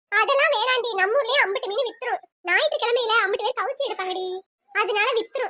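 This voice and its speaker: A female-sounding cartoonish character voice, extremely high in pitch, at a fairly quick pace. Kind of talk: village comedy banter. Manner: brusque, bickering.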